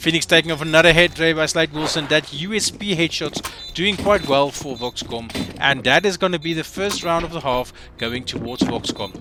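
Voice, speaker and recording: A voice at a moderate pace with ordinary pitch variation, heard over noticeable background noise. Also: man, fairly high pitch for a man. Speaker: esports caster. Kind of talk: live commentary. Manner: stumbling over words.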